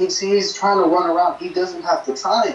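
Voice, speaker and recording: A man speaks at a moderate pace. Room echo is audible around his voice. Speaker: co-host, fan on video call. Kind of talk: angry rant, heated fan reaction. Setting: Skype call. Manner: incensed, exasperated, scolding, emphatic. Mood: frustrated, ranting. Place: home room. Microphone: camera far.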